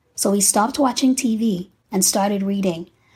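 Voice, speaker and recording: A woman speaks at a fairly slow pace, her somewhat breathy voice dark and mellow in tone. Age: 40s. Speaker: faith-based podcaster. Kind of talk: scripted monologue.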